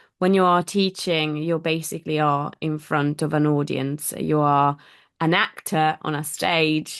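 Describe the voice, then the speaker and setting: Over a quiet background, a woman with a very deep, low pitch speaks at a fairly slow pace in a monotone, flat way. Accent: Italian. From Italy. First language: Italian. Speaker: language teacher. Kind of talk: interview conversation. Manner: hesitant with fillers.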